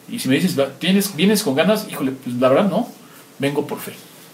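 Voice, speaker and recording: With audible room echo and noticeable background noise, a man talks at a fairly quick pace, his pitch swinging very widely. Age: 50s. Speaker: pastor. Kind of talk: sermon.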